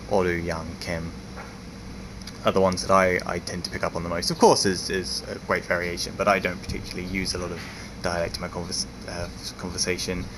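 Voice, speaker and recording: Over noticeable background noise, a man with a very deep, low pitch talks at a very fast pace with fairly even intonation, broken by long, frequent pauses. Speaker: foreign resident in Japan vlogger. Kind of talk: casual talk to camera. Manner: rambling, hesitant.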